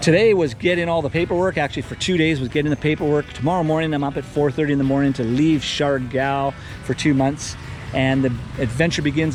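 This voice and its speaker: Music plays behind a man with a fairly high voice. His pitch varies in an ordinary way. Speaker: vlogger and resort owner. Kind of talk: casual vlog. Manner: casual, rambling with fillers.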